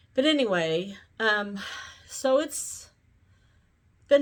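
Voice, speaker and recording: Southern US accent on a very clean recording with a silent background. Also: woman. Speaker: YouTuber. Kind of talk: casual vlog monologue. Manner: slow, sometimes mumbled; halting, many fillers.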